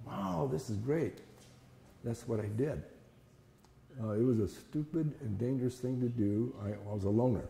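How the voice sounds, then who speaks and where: A man with an American accent speaks at a moderate pace and medium pitch, with ordinary pitch variation. His dark, mellow tone is somewhat breathy, broken by long, frequent pauses. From Fresno, California. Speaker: internment camp survivor. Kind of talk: interview. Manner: halting.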